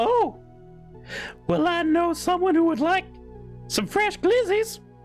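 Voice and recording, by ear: Over clear music in the background, a put-on character voice speaks at an extremely high pitch and a fairly slow pace.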